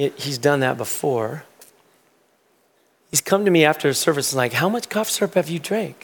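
This soft-spoken voice has lively intonation and a moderate pace. Long pauses come often. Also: man, fairly high pitch for a man. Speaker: pastor. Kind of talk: sermon. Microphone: may be too quiet.

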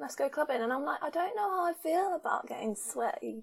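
A woman's voice with very wide pitch swings, in a southern English accent. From southern England. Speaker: podcast host. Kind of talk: casual interview chat.

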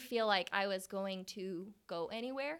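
In a very clean recording with a silent background, a woman with an American accent speaks very slowly in a bright, sharp tone. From Oklahoma. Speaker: hair salon area coach. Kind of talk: interview.

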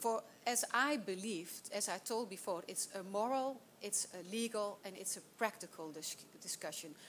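With a Dutch accent, the speaker moves at a moderate pace with ordinary pitch variation. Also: woman, medium pitch for a woman. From Netherlands, Volendam. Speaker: politician, panelist. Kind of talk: panel discussion. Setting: stage with audience. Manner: halting.

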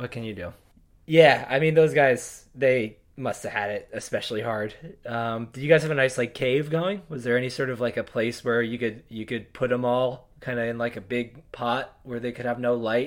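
Recorded very cleanly against a silent background, a man with a plain, everyday voice speaks at a moderate pace, with a medium pitch and ordinary pitch variation. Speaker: surf media podcast co-host. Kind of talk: casual podcast banter. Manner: joking, casual.

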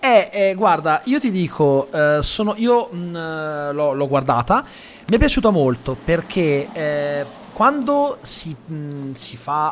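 A man's very slow, fairly high voice with very wide pitch swings over noticeable background noise. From Italy (raised locally, Calabrian family from Lamezia Terme). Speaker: podcast host. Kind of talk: casual interview.

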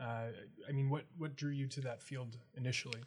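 A man speaks in a somewhat breathy voice. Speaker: student podcast host. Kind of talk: interview.

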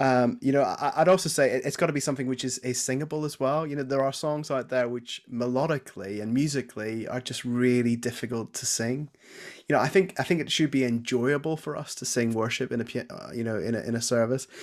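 In a very clean recording with a silent background, a man with a Northern Irish accent talks at a very fast pace with fairly even intonation. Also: medium pitch for a man, hardly any pauses. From Northern Ireland, Belfast. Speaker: church music and youth minister. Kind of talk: casual interview.

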